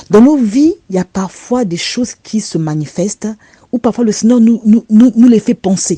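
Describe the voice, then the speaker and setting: A woman speaks at a fairly slow pace with a dark, mellow tone and a somewhat breathy quality. Her pitch variation is ordinary, the sound is dry and close with no echo, and the background is quiet. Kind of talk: religious testimony. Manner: repetitive, stammering.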